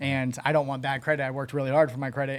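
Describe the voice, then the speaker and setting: A man with an American accent, fairly high pitch and monotone, flat intonation, on a very clean recording with a silent background. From Arizona (Phoenix, Maryvale). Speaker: recovered addict turned entrepreneur. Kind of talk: interview.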